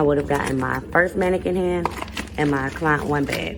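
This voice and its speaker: A woman speaks amid noticeable background noise, with audible echo from the room. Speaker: nail technician tutorial creator. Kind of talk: voice-over tutorial. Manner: fast.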